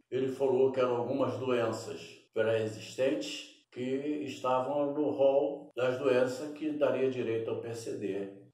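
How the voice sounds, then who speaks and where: The man here talks at a medium pitch and a fairly slow pace, with fairly even intonation. Audible room echo surrounds his voice. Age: 70s. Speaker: retiree, customer testimonial. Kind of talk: testimony.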